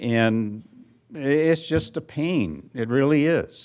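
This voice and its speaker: On a very clean recording with a silent background, a man talks at a very slow pace with ordinary pitch variation. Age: 70s. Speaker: resident speaking at public comment. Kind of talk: public comment at council meeting. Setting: city council meeting.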